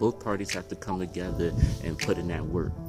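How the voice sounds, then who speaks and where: Over music in the background, a man with a very deep, low pitch speaks at a moderate pace with lively intonation. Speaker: spoken word poet and motivational speaker. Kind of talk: casual motivational talk to camera.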